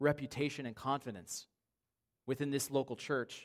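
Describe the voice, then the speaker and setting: A man with a fairly high pitch speaks at a moderate pace, using fairly even intonation. He has an unremarkable speaking voice. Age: 30s. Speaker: pastor. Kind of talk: sermon.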